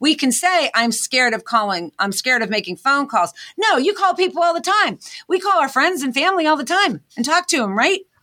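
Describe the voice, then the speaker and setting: In a very clean recording with a silent background, a woman with an American accent speaks at a fairly quick pace in a raised, projected voice, her high, bright, sharp tone moving through very wide pitch swings. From Pittsburgh, Pennsylvania. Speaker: inventor and motivational speaker. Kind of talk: interview.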